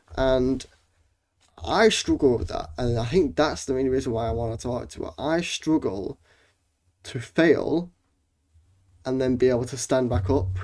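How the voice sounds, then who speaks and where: The recording is very clean, with a silent background. A man with vocal fry and a medium pitch talks at a moderate pace, leaving long, frequent pauses. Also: lively intonation. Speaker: gaming youtuber. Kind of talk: casual vlog monologue.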